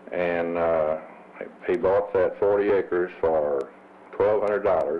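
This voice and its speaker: A man with a Missouri Bootheel accent talks at a fairly slow pace. His loudness stays very even over noticeable background noise. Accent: Southern US, Missouri Bootheel. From Missouri Bootheel, Kennett area. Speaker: former chamber of commerce president. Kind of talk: interview reminiscence. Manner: hesitant, many uh fillers.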